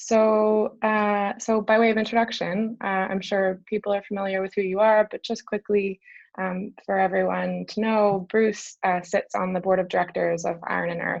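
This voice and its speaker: In a Canadian accent, a woman speaks at a medium pitch and moderate pace with monotone, flat intonation. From British Columbia, Canada. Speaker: event host. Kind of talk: interview conversation.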